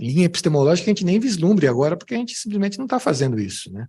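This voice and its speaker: With a São Paulo accent, a man speaks at a high pitch, his pitch swinging very widely. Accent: São Paulo (paulista). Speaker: music professor. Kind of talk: academic talk with Q&A. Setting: conference with audience. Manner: hesitant, many fillers and repetitions.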